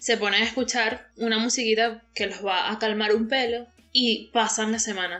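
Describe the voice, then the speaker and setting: Speaking in a Venezuelan accent, a woman keeps a monotone, flat intonation at a fairly high pitch and a moderate pace. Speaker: podcast co-host. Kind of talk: casual chat.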